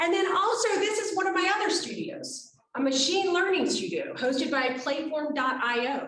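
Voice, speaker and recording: The speaker has an American accent and lively intonation. Audible room echo surrounds the voice. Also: woman, high pitch for a woman, moderate pace. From United States. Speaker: artist. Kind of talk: lecture.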